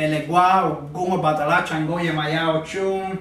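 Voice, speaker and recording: A man with a Spanish accent and a fairly high pitch, amid noticeable background noise and audible room echo. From Cuba. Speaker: religious practitioner and teacher. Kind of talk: video monologue. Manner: stuttering today.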